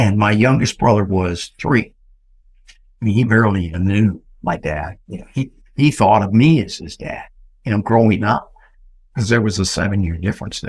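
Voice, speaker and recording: A man with a Texan accent speaks at a fairly low pitch and a moderate pace, somewhat breathy, with ordinary pitch variation, big swings in loudness and long, frequent pauses. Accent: Texan American. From Texas, San Antonio. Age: 70s. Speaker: real estate entrepreneur. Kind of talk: interview storytelling.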